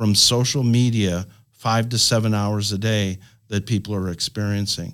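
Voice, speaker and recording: A man with a normal speaking voice talks at a fairly slow pace and fairly low pitch, with fairly even intonation, on a very clean recording with a silent background. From Canada. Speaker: pastor and ministry network leader. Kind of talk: panel discussion. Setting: studio.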